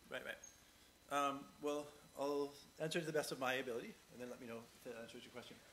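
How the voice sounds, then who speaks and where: Light background noise sits behind a man who talks at a fairly quick pace, his loudness swinging widely. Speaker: conference speaker. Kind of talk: conference talk; audience Q&A. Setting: stage with audience. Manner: fast. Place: hall.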